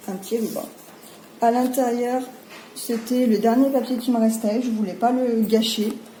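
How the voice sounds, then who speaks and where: Speaking at a fairly slow pace with long, frequent pauses, a woman holds a fairly high pitch in a flat monotone while audible room echo surrounds her. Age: 30s. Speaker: crafting youtuber. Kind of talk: product presentation. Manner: hesitant, many fillers.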